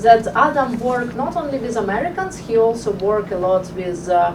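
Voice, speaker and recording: A woman's voice with ordinary pitch variation, noticeable background noise and audible room echo. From Ukraine. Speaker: event organizer and moderator. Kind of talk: opening remarks. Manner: halting, many fillers.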